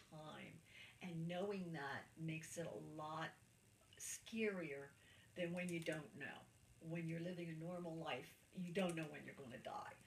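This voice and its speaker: Somewhat breathy and fairly low in pitch, a woman's voice comes through with audible room echo. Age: 70s. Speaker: cancer patient interviewee. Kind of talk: interview testimony. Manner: halting.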